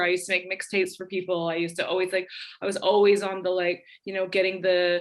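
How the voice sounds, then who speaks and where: A woman with a North American accent, medium pitch, an animated tone and a very fast pace. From Canada. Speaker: DJ and radio host. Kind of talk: casual interview. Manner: animated, many fillers and restarts.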